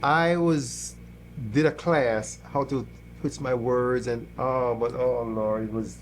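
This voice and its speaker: A man speaks with a Jamaican accent at a very slow pace. Audible room echo hangs around his voice. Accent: Jamaican accent, noticeable. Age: 60s. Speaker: church musician, guitarist. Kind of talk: interview conversation. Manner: halting, many repetitions.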